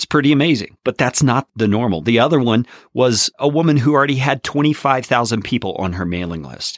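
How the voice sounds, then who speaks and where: Over a silent background in a very clean, dry, close recording with no echo, a man talks at a fairly quick pace in a medium pitch with an unremarkable speaking voice. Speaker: podcast host. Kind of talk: casual interview chat.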